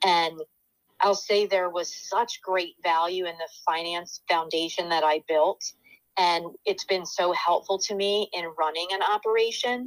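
A woman with an American accent speaks in an unremarkable speaking voice at medium pitch and a fairly slow pace. Her intonation stays fairly even, and the sound is dry and close with no echo. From Pennsylvania (York). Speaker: healthcare executive. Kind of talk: interview.

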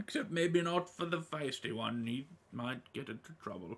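A man's put-on character voice, fairly high-pitched, with lively intonation at a moderate pace. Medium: actual play. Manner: warm, gently fussy, hesitant with little 'oh' and 'well' fillers.

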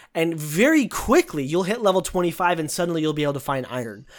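This is a man with an ordinary speaking voice, pitched fairly high, and lively intonation. The recording is very clean, with a silent background. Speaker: gaming podcast host. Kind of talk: casual chat.

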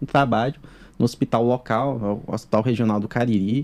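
The man's tone is dark and mellow, with ordinary pitch variation. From Ceará, Brazil (Crato, sertão). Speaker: neurologist. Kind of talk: casual interview chat.

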